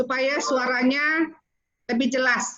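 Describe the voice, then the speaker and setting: A woman speaking at a fairly slow pace. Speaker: training organizer. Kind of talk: online training briefing. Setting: video call.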